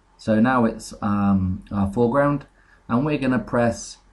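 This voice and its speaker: A somewhat breathy man's voice of medium pitch, at a fairly slow pace. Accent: British. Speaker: software tutorial maker. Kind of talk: tutorial. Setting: home screen recording. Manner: hesitant, many fillers.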